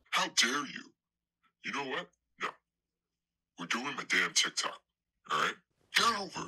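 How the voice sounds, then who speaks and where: Putting on a character voice, a man speaks at a high pitch with long, frequent pauses. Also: moderate pace. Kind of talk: mockumentary comedy. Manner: pompous, indignant.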